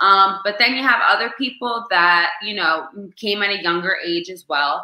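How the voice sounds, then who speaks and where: A woman in an animated, bright, sharp tone with a slight New Jersey accent, medium pitch, ordinary pitch variation, big swings in loudness, a moderate pace and audible room echo. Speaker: restaurant manager. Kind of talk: casual chat.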